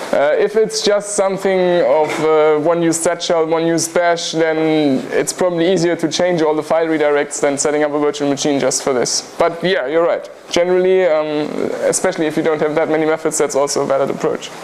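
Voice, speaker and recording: A fairly high-pitched man at a fairly quick pace, hardly any pauses, very even loudness and fairly even intonation, with audible room echo and noticeable background noise. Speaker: university lecturer. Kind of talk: lecture. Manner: fast.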